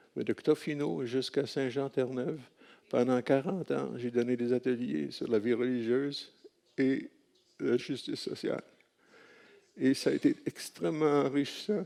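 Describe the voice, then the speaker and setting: The dark, mellow voice moves at a fairly slow pace with long, frequent pauses. Pitch varies in an ordinary way. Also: man, medium pitch for a man. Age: 80s+. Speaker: retired religious workshop leader. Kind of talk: speech of thanks. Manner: halting.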